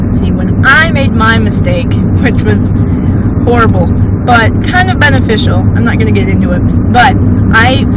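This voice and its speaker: Over loud background noise, a woman talks at a moderate pace with ordinary pitch variation and long, frequent pauses, the sound dry with no echo. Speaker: vlogger. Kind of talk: casual vlog chat. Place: car. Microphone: phone near.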